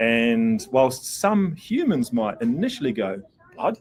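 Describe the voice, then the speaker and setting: A man with a New Zealand accent and lively intonation. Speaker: pet product company representative. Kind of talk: product demo interview. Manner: casual, many fillers.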